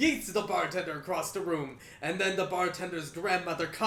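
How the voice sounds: Natural reading voice, intonation fairly even throughout.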